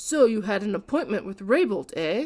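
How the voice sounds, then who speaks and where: A woman's put-on character voice, fairly high in pitch, with very wide pitch swings at a moderate pace. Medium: read story. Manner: brisk, blunt.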